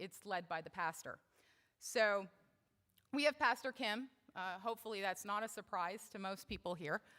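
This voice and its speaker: At a moderate pace, a woman speaks loudly at a medium pitch. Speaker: church member speaking at service. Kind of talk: talk at worship service. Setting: church service. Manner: casual, with fillers.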